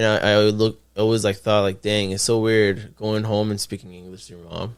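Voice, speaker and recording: Speaking at a fairly quick pace, a man with an American accent has fairly low pitch and monotone, flat intonation. His loudness swings a lot. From Miami and Ecuador, later Ocala, Florida. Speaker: rapper and videographer. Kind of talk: casual chat. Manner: halting.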